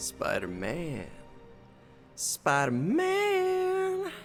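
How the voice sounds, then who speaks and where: Clear music plays in the background behind a put-on character voice. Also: man. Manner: scary, menacing.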